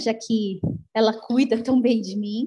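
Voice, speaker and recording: A woman talks at a fairly slow pace in a fairly high pitch with ordinary pitch variation. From Brazil, São Paulo. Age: 40s. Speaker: long-distance solo cyclist traveler. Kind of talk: interview conversation.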